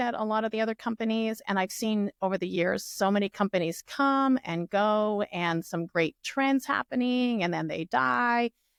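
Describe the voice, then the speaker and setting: A woman with an unremarkable speaking voice talks at a moderate pace and medium pitch with lively intonation, recorded dry and close with no echo over a quiet background. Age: 60s. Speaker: real estate agent. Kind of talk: podcast interview.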